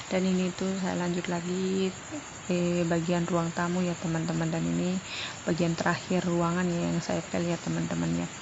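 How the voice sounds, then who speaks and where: A woman talks at a moderate pace with very even loudness, over noticeable background noise and audible room echo. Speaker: vlogger, stay-at-home mother. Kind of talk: vlog voiceover narration. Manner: chatty, talkative.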